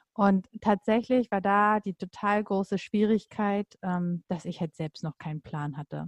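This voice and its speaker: A woman at a fairly slow pace with hardly any pauses and ordinary pitch variation, in a dry, close sound with no echo against a quiet background. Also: medium pitch for a woman. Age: 30s. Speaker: coach and mother. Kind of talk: casual interview. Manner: hesitant with many fillers.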